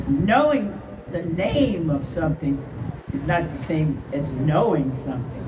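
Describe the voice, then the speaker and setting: A woman with an American accent, very deep and low in pitch, at a fairly slow pace, with audible room echo and noticeable background noise. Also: ordinary pitch variation. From US Midwest, Akron, Ohio. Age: 80s+. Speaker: retired journalist and former nurse, rally speaker. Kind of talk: speech at a rally.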